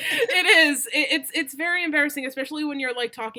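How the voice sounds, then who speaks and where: A woman's fairly quick speech with music in the background. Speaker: streamer. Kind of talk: casual chat. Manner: loud.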